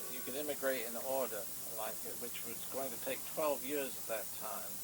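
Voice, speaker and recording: A fairly quick male voice with ordinary pitch variation over noticeable background noise. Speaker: retiree. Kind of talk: interview answer, family recollection. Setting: home VHS recording, poor quality.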